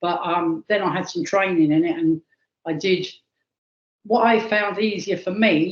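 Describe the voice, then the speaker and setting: A woman with a plain, everyday voice, medium in pitch, at a moderate pace with ordinary pitch variation. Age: 60s. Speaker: archaeologist. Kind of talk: interview.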